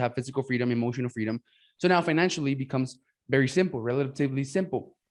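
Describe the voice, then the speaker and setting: A man talks very fast with a Mexican accent, his pitch fairly high. His pitch varies in an ordinary way, and the background is quiet. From Mexico. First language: Spanish. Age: 20s. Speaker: podcast host and business coach. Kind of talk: casual interview chat. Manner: halting, many fillers and restarts.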